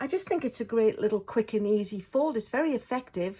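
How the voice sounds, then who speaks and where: A woman with a British accent sounds somewhat breathy, with a dark, mellow tone and ordinary pitch variation. The recording is very clean, with a silent background. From Britain. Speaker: card-making crafter. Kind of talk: tutorial. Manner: casual.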